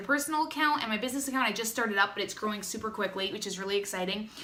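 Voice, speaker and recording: Over noticeable background noise and audible room echo, a woman talks at a very fast pace in a raised, projected voice with lively intonation. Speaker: direct sales distributor. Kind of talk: tutorial. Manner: casual, chatty.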